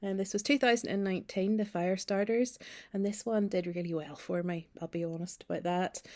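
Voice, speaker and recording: A woman with a Northern Irish accent talks at a moderate pace, her pitch medium with ordinary variation. The recording is very clean, with a silent background. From Northern Ireland, Ballymena (County Antrim). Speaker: novelist. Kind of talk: recorded video message.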